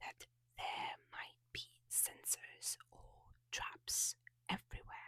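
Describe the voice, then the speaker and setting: Very slowly, the speaker whispers. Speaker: ASMR creator. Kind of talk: ASMR rant / review. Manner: soft whispered.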